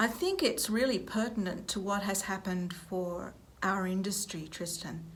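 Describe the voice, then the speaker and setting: Vocal fry in an Australian accent, moderate pace, fairly even intonation. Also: woman, medium pitch for a woman. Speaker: opera singer, music professor. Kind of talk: interview answer. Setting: recorded at a university.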